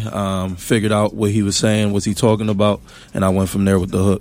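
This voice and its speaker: Speaking very fast with a Philadelphia accent, a man keeps a fairly low pitch and a monotone, flat intonation. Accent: Philadelphia American English. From US, West Philadelphia. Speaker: musician. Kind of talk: casual interview.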